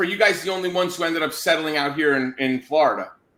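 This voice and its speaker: A man's very fast, animated delivery with ordinary pitch variation. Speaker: podcast host. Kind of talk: interview.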